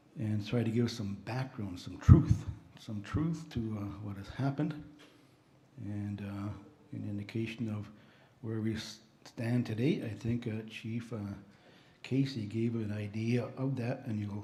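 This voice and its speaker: Soft-spoken and somewhat breathy, a man talks at a fairly slow pace and medium pitch in a dark, mellow tone, with fairly even intonation, long, frequent pauses and audible room echo. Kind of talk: slide presentation at a conference.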